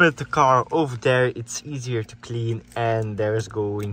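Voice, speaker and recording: With light background noise and a dry sound with no echo, a man speaks with ordinary pitch variation. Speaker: car owner vlogger. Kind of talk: casual vlog chat. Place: street. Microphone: phone near.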